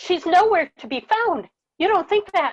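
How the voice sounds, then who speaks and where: Putting on a squeaky character voice, a woman speaks at an extremely high pitch with lively intonation and a moderate pace. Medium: stage play. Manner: nervous, worrying.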